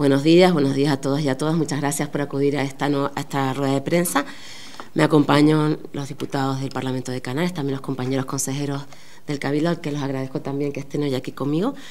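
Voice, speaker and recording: A woman's very deep, low voice at a very fast pace, monotone and flat, with audible room echo. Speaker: politician. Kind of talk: press conference statement. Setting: press conference.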